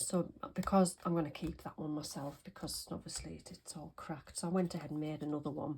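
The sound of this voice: A woman speaks at a low pitch and a fairly quick pace. Her slightly mellow tone has a husky, rough edge, and her intonation is fairly even.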